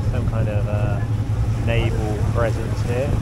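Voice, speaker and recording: The sound is dry, with no echo. Loud background noise runs throughout. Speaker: travel vlogger. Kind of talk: casual vlog chat. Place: boat. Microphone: phone near.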